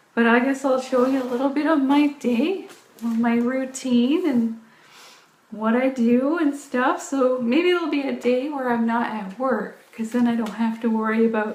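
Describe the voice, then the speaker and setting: A high-pitched woman with an American accent at a moderate pace, ordinary pitch variation, and audible room echo. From US South (Orangeburg, South Carolina). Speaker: fitness vlogger. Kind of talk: casual chat. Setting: live video stream.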